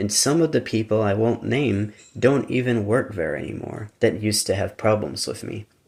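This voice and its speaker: A man with an American accent, fairly low and lively, with vocal fry, moderate pace and hardly any pauses. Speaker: YouTuber. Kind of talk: casual monologue. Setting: live stream. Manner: conversational, informal.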